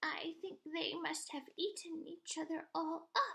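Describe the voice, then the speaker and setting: Using a put-on character voice, a woman speaks at an extremely high pitch. Her pace is fairly slow. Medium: read story.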